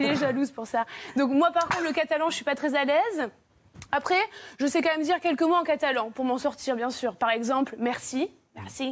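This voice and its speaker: A woman with a high-pitched voice talks at a fairly quick pace, her pitch varying in an ordinary way. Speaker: TV comedy columnist. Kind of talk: comic TV segment. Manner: animated; fake Spanish accent at the start.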